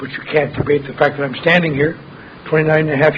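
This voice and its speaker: Noticeable background noise is present. The voice belongs to a man. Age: 60s. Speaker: AA speaker. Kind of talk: recovery talk.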